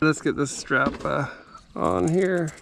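Light background noise is present. The sound is dry, with no echo. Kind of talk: casual DIY narration to camera. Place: garden. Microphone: phone near.

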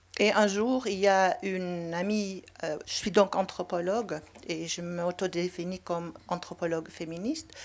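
In a Dutch accent, the speaker talks at a fairly slow pace with fairly even intonation. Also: woman, medium pitch for a woman. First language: Dutch (speaking French). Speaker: anthropologist; panelist. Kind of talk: panel discussion. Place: hall. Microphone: handheld.

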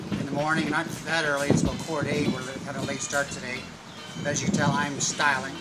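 A man speaks with music in the background. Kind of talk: casual vlog chat. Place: street. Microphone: phone near.

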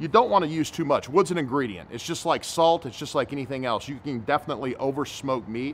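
With music in the background, a man talks at a very fast pace with ordinary pitch variation. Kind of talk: tutorial. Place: garden.

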